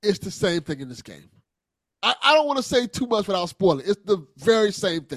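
A high-pitched male voice at a fairly quick pace, with very wide pitch swings, big swings in loudness, and a dry, close sound with no echo. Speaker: podcast co-host. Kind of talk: casual banter.

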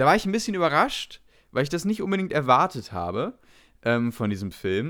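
Pitch swings very widely at a moderate pace. The recording is very clean, with a silent background. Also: man. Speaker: film podcast co-host. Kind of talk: casual chat.

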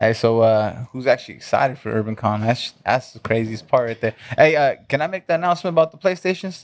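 A man at medium pitch with a Southern California accent, going at a very fast pace. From Orange County and Inland Empire, California. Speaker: convention organizer and sales professional. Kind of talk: casual interview chat.

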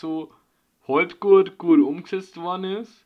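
A quiet background behind ordinary pitch variation. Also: man. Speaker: podcast co-host. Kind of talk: casual chat.

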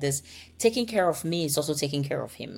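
A woman with an American accent, vocal fry and ordinary pitch variation. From Ghana. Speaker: marriage coach. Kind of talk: interview. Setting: remote call from Copenhagen.

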